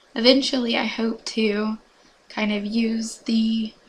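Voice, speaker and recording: A woman's fairly high voice comes through with flat, monotone intonation against noticeable background noise. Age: 20s. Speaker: college student. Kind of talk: class presentation. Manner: halting.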